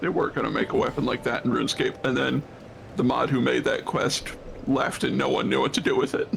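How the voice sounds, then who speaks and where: A man talks at a fairly quick pace with very even loudness against noticeable background noise. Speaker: streamer co-host. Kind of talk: casual gaming livestream chat. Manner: talkative, babbling.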